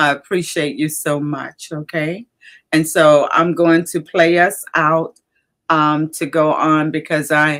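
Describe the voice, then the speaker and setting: A woman with an Alabama accent speaks very slowly in a very deep, low pitch with monotone, flat intonation. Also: very clean recording, silent background. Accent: Southern US (Alabama). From US South, Alabama. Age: 70s. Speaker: livestream host. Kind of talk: casual chat. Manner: halting.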